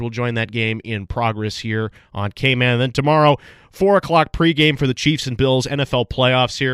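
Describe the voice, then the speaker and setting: On a very clean recording with a silent background and a dry, close sound with no echo, a man with an American accent speaks at a moderate pace in a bright, sharp tone at medium pitch with ordinary pitch variation. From Chicago. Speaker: radio sports host. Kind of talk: radio sports show talk.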